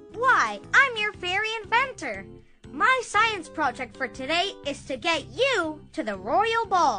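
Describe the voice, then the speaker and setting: Put-on character voice, female-sounding, at an extremely high pitch and a fairly slow pace, with clear music in the background. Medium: video game. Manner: playful, comic sound effects.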